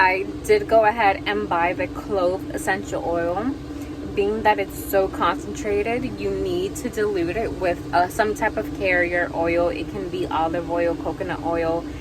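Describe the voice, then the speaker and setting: A woman speaks at a fairly slow pace. Noticeable background noise and audible room echo surround her voice. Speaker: van life vlogger. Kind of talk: vlog.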